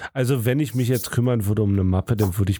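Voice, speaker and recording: Somewhat breathy, with a dark, mellow tone, a man speaks at a very fast pace with ordinary pitch variation. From Germany. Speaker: podcast co-host. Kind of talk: casual chat.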